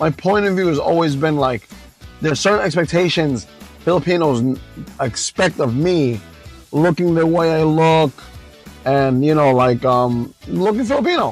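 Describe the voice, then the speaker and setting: A man with a New York accent talks with long, frequent pauses while music plays in the background. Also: fairly high pitch for a man, ordinary pitch variation, moderate pace, very even loudness. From Long Island, New York. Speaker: vlogger. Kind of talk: casual talk to camera while driving. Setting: in a car. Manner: impromptu, conversational.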